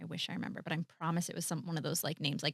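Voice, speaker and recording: With a Midwestern US accent, a woman speaks in an animated tone, the sound dry and close with no echo. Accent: US Midwest. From US Midwest, Colombian family. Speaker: actor, writer and director. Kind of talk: casual interview chat.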